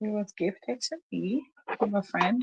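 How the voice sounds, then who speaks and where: A woman speaks very slowly at a medium pitch, her somewhat breathy voice dark and mellow, with lively intonation and a dry, close sound free of echo. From Africa. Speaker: talk show host. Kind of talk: casual chat. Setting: livestream on Facebook. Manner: animated.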